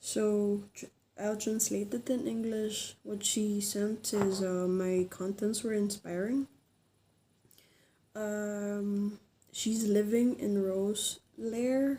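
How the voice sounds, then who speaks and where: At a very slow pace, a woman with a Filipino accent speaks at medium pitch in a dark, mellow tone. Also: fairly even intonation. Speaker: vlogger. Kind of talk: informational vlog. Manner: halting, many fillers.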